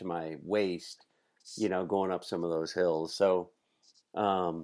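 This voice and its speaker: A man's very deep, low voice with fairly even intonation, in a very clean recording with a silent background. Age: 60s. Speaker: podcast host. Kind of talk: casual podcast interview.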